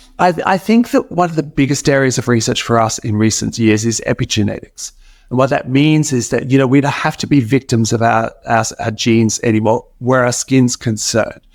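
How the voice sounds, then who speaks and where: A man with an Australian accent, lively intonation and a fairly quick pace, on a very clean recording with a silent background. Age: 60s. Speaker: cosmetic chemist. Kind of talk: interview.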